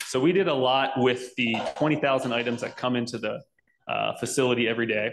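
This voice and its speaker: A man speaks at a fairly quick pace with fairly even intonation, with light background noise behind him. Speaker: conference speaker. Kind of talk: tech talk presentation. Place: hall. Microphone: handheld.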